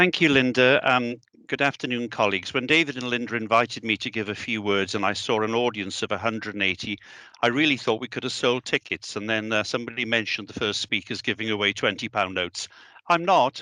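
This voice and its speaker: Speaking at a very fast pace with a Welsh accent, a man uses a medium pitch and ordinary pitch variation. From South Wales, the Valleys. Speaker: education director. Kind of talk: speech.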